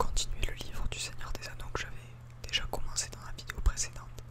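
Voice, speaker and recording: The words are whispered at a moderate pace. Background noise is noticeable throughout. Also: man. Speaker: ASMR creator. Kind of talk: whispered book reading (ASMR).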